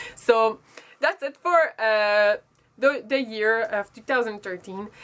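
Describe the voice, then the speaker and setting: A woman with a strong French accent speaks at a very slow pace and a fairly high pitch, with ordinary pitch variation and big swings in loudness. The recording is very clean, with a silent background. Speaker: beauty vlogger. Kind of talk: casual vlog monologue. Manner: halting, self-correcting.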